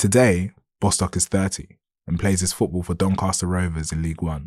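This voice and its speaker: A dark, mellow tone carries fairly even intonation in a very clean recording with a silent background. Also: man. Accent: London. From south London, Lewisham. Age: 30s. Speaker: journalist. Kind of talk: reading aloud. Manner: formal.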